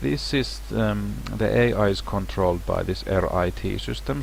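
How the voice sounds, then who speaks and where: A man with a non-native accent speaks at a fairly slow pace, his very deep, low pitch moving in very wide swings. Audible room echo and noticeable background noise fill the recording. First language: not English. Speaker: game level designer. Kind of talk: tutorial. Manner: casual, halting with restarts.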